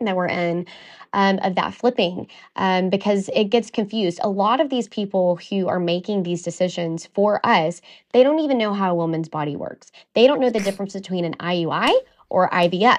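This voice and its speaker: A woman speaks at a fairly quick pace with a medium pitch and ordinary pitch variation. The background is quiet. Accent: American. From US South, East Texas. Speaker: donor-conceived advocate. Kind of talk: interview.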